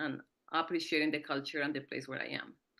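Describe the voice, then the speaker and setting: With a Colombian accent and a bright, sharp tone, a woman speaks with ordinary pitch variation over a quiet background. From Colombia (Andean city). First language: Spanish. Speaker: PhD student, panel speaker. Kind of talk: conference presentation.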